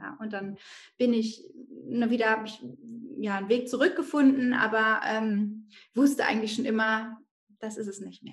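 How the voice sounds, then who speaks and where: This woman's somewhat breathy voice sits at a fairly high pitch, with ordinary pitch variation, big swings in loudness, a moderate pace and long, frequent pauses. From northern Germany, Bremen. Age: 30s. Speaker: mindfulness coach and mother. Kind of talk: podcast interview.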